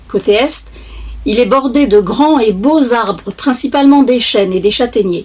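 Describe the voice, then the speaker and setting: A woman with a plain, everyday voice speaks fairly slowly in a fairly high pitch, her intonation lively. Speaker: author reading own book. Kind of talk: children's book reading.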